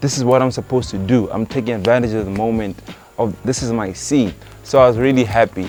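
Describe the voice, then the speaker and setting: A man at medium pitch with a very fast pace and fairly even intonation, with music in the background. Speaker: rapper and producer. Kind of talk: casual interview chat.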